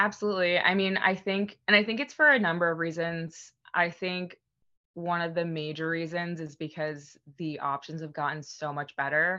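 A woman with a plain, everyday voice speaks at a moderate pace in a fairly low pitch. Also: ordinary pitch variation. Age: 30s. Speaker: former professional beer brewer. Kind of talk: casual interview chat.

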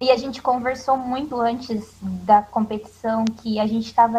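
Speaking at a moderate pace, a woman uses a fairly high pitch and fairly even intonation in a plain, everyday voice. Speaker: former cheerleader. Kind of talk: casual chat.

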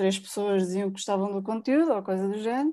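Pitch moves up and down in an ordinary way. The voice has a dark, mellow quality. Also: woman, very clean recording, silent background. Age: 30s. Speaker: personal finance blogger. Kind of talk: interview.

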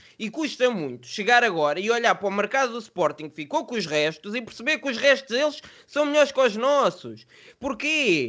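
Against a quiet background, a man talks at a moderate pace in an extremely high pitch, his bright, sharp tone rising and falling in very wide swings. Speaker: football podcast host. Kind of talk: casual chat.

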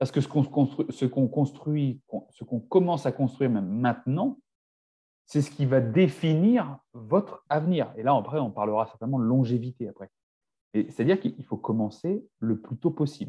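Fairly high-pitched male voice, somewhat breathy, with a dark, mellow tone, lively intonation and a moderate pace. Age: 40s. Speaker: naturopath and nutrition coach. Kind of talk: casual chat.

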